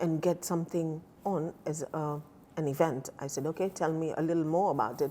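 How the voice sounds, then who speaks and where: A woman speaks at a fairly quick pace with a very deep, low pitch, a dark, mellow tone and fairly even intonation. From Kenya, Mombasa. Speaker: community volunteer. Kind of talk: interview. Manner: conversational, hesitant.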